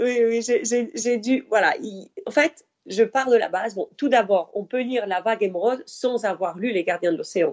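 Her pitch is fairly high, with ordinary pitch variation. The woman talks at a fairly slow pace with hardly any pauses. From Spain, Mediterranean coast. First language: Spanish (speaking French). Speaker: author. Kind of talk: interview.

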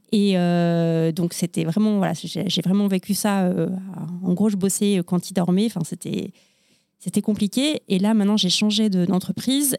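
At a moderate pace, a woman speaks with a dark, mellow tone, medium pitch and fairly even intonation. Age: 40s. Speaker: publishing professional. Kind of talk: casual chat. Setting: studio.

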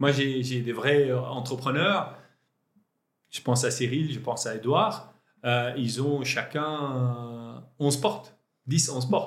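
Speaking very slowly with long, frequent pauses, a man at medium pitch is heard with audible room echo. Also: ordinary pitch variation. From Lebanon. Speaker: entrepreneur. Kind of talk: interview. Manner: halting.

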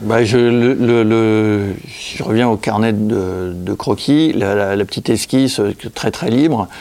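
Very slowly, a man speaks in a fairly low voice. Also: ordinary pitch variation. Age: 60s. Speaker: illustrator and comic author. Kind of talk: casual interview. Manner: halting, many repetitions.

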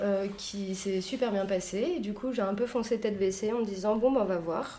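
Speaking at a moderate pace, a woman uses a medium pitch. The room echo is audible. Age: 20s. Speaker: leatherworker and saddler, workshop co-founder. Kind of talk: interview.

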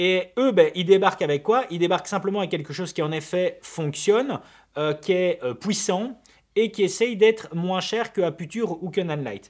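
This man's voice sits high in pitch, captured in a very clean recording with a silent background. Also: ordinary pitch variation, moderate pace. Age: 30s. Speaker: videographer and podcast co-host. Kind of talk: casual chat.

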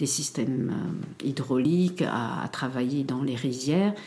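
A woman with a very deep, low pitch talks at a fairly slow pace, her pitch variation ordinary. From Cambodia, raised in France from early childhood. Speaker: academic, genocide survivor. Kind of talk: testimony. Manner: halting, many repetitions and hesitations.

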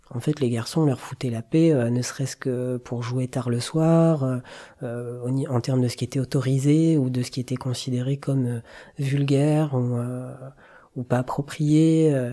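In a dark, mellow tone of medium pitch, a man speaks at a fairly slow pace with monotone, flat intonation. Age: 40s. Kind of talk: interview testimony. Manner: reflective, measured.

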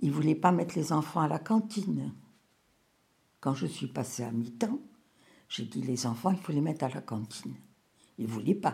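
A woman with a very deep, low pitch and a dark, mellow tone speaks at a moderate pace with vocal fry, very wide pitch swings and long, frequent pauses. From Morocco (Rabat). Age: 80s+. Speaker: grandmother telling her life story. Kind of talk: testimony. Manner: halting.

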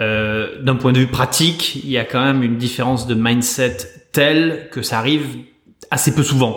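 In a room with audible echo, a man talks at medium pitch and a moderate pace, his intonation fairly even. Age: 40s. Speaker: venture capital investor. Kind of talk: interview. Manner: halting with repeated words.

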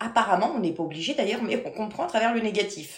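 The intonation is lively, and audible room echo surrounds the voice. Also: woman. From France, Paris region (Versailles). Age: 40s. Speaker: medium. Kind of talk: interview.

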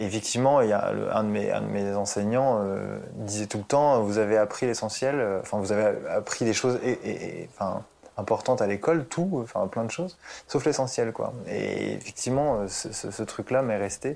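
A man with a dark, mellow tone and a medium pitch. He keeps a moderate pace with ordinary pitch variation. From Paris suburbs, Essonne. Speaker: therapist and former music producer. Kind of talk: casual interview. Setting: at home in his living room. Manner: hesitant, many fillers.

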